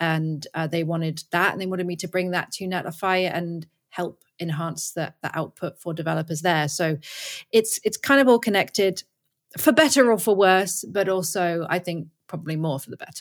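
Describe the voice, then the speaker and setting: A woman speaks in a plain, everyday voice at a moderate pace. Her pitch is fairly low with ordinary pitch variation, and her loudness swings widely. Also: very clean recording, silent background. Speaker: developer advocate and streamer. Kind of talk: casual interview.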